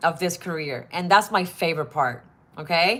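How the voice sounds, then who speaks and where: A woman with a Spanish accent. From Puerto Rico. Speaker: model. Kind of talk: advice vlog. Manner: casual, with fillers and restarts.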